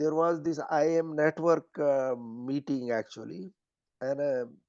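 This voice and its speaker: Over a quiet background, a man with an Indian accent speaks at a fairly high pitch. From Haryana, India. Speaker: former business executive, rural development activist. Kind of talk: interview answer.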